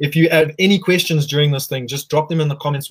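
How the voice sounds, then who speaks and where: A man speaks with a somewhat breathy voice. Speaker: livestream host. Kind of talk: casual interview chat. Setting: video call livestream.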